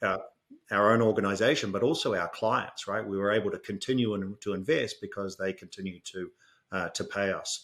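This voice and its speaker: A man speaks in a New Zealand accent at a fairly quick pace, his pitch fairly low and his intonation fairly even. The recording is very clean, with a silent background. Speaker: fintech executive. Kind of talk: podcast interview. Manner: hesitant, many fillers.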